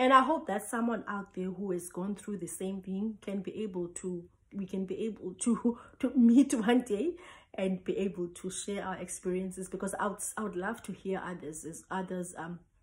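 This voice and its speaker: Speaking at a moderate pace, a woman with a medium pitch and ordinary pitch variation sounds somewhat breathy, with big swings in loudness. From South Africa, Cape Town. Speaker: traditional healer. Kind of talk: personal testimony.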